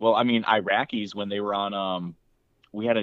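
A man's fairly low-pitched words come at a moderate pace in a normal speaking voice. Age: 20s. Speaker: friend and guest. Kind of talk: casual chat. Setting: remote call from his room.

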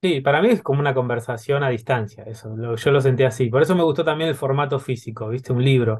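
Speaking at a very fast pace with hardly any pauses, a man sounds somewhat breathy and shows ordinary pitch variation. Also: medium pitch for a man. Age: 30s. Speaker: podcast host. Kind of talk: interview.

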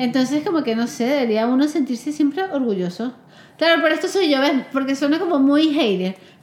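Over noticeable background noise, a woman with a high voice talks at a fairly quick pace with lively intonation. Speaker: podcast host. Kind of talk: casual chat. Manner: talkative.

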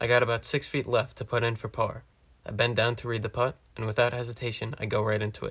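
Speaking at a very fast pace, a man keeps a medium pitch in a monotone, flat intonation. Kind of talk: first-person golf play-by-play narration. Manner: relaxed, casual, conversational; calm, measured running commentary.

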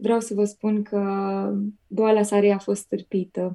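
Speaking at a medium pitch, a woman has a dark, mellow tone and monotone, flat intonation. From Romania, Piatra Neamț. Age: 20s. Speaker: cancer survivor sharing testimony. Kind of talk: religious testimony. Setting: remote call into radio show.

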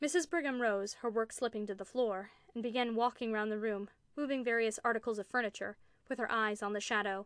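What we hear is a natural reading voice.

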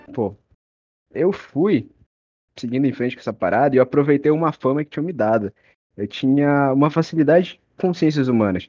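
Over a quiet background, a man with a fairly high, dark, mellow voice speaks at a moderate pace with lively intonation and long, frequent pauses, the sound dry and close with no echo. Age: young. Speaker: student. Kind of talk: casual chat.

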